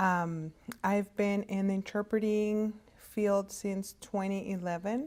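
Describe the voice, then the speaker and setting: A woman with a Spanish accent at a medium pitch, in a very clean recording with a silent background. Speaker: hospital interpreting services director. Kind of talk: career talk to students. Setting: virtual conference. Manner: halting, many fillers.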